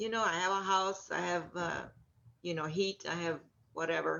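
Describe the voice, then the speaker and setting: Here a woman speaks with an American accent. Her pitch varies in an ordinary way. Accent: Mexican American Texas English. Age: 70s. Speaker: labor organizer and activist. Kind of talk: interview.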